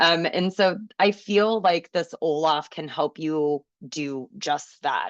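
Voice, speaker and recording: A woman's fairly low voice at a very slow pace, in a dry, close sound with no echo. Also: ordinary pitch variation, quiet background. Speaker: special education teacher / trainer. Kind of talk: webinar presentation.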